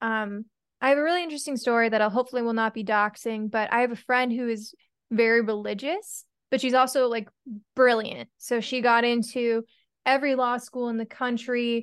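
A woman talks at a fairly quick pace in a normal speaking voice, fairly high in pitch with fairly even intonation. The background is quiet. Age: 20s. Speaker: podcast host. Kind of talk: casual interview.

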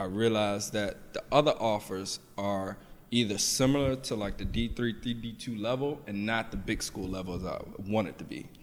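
An American man with an ordinary speaking voice talks at a moderate pace, his fairly low pitch held in fairly even intonation. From US Mid-Atlantic, Washington DC and Southern Maryland. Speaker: personal trainer. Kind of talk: casual interview.

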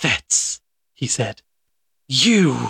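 A man whispering in a put-on character voice, dry and close with no echo. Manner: startled whisper.

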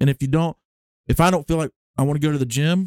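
Speaking in a Southern US accent, a man rattles along at a very fast pace. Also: dry, close sound with no echo. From Alabama. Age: 20s. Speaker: musician and storyteller. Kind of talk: casual interview chat.

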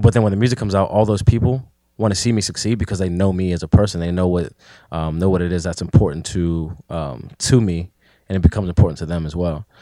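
Very deep and low, a man's dark, mellow voice with a Pittsburgh accent rushes along at a very fast pace in a very clean recording with a silent background. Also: ordinary pitch variation. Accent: Pittsburgh urban American English. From Pittsburgh area, western Pennsylvania (McKeesport). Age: 20s. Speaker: rapper. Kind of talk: casual chat.

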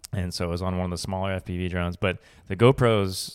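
With an American accent, a man with a very deep, low pitch speaks at a fairly quick pace with ordinary pitch variation in a very clean recording with a silent background. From Colorado, near Boulder. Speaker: podcast host and videographer. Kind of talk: casual interview chat.

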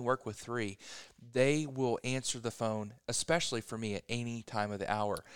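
A man speaks at a fairly quick pace in a plain, everyday voice, medium in pitch, with fairly even intonation. The recording is very clean, the background silent. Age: 30s. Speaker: real estate agent. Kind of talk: casual chat. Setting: coffee shop.

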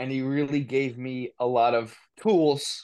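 A man speaks with a New Jersey accent. His intonation stays fairly even against a quiet background. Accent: New Jersey American. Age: 30s. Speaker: recovery advocate and author. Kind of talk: casual interview.

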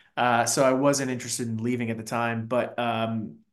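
The speech comes at a moderate pace in an American accent. There is audible room echo. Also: man. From Fairfax County, Virginia (DC suburbs). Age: 40s. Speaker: marketing executive. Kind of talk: interview.

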